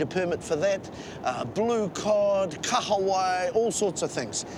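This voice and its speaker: A man speaks in a high pitch with a New Zealand accent. Noticeable background noise runs under his voice. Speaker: travel show presenter. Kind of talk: presenting to camera; casual chat.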